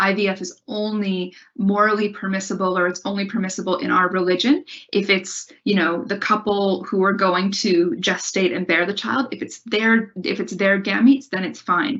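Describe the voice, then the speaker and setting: Hardly pausing at all, a woman with an American accent talks in an ordinary speaking voice, medium in pitch with ordinary pitch variation. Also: moderate pace. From US Midwest, Ohio. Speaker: university lecturer. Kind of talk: lecture.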